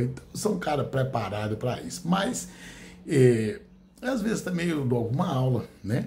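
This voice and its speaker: Someone talks at a fairly slow pace amid noticeable background noise and audible room echo. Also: man. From rural Brazil. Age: 60s. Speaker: law professor and content creator. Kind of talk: casual monologue to camera. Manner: hesitant, with fillers.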